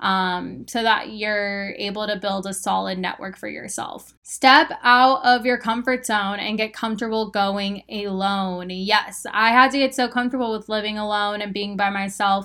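A woman with a Western US accent talks with hardly any pauses. Her tone is bright and sharp, upbeat and animated. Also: medium pitch for a woman, moderate pace. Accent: General American, western US. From Arizona, Phoenix. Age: 20s. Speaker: podcast host. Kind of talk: casual solo podcast talk. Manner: upbeat, animated.

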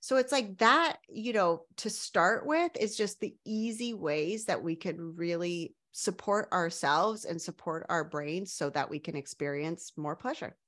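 With hardly any pauses, a woman with an ordinary speaking voice and medium pitch talks with lively intonation against a quiet background. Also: fairly slow pace. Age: 40s. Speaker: sex coach. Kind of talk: casual chat.

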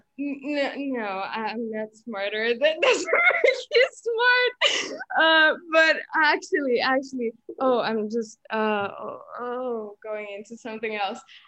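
At a very slow pace, a woman with a high pitch uses a raised, projected voice with a bright, sharp tone, lively intonation and big swings in loudness. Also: hardly any pauses. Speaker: university student. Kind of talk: casual chat. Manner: halting.

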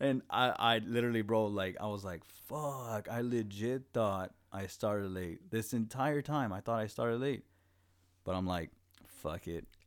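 Over a silent background in a very clean recording, a man with a Spanish accent talks at a fairly slow pace in a medium pitch with ordinary pitch variation. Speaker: podcast co-host. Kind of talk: casual chat. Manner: animated.

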